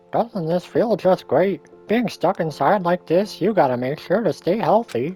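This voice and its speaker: A man performs a put-on character voice at a high pitch and moderate pace. Faint music plays in the background. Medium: game stream. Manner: playful, taunting.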